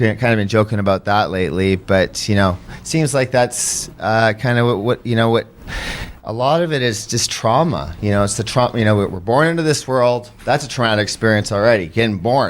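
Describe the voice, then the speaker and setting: Against noticeable background noise, a man with a Canadian accent speaks at a fairly quick pace and medium pitch, with ordinary pitch variation. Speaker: podcast host. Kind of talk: casual chat. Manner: fast; halting.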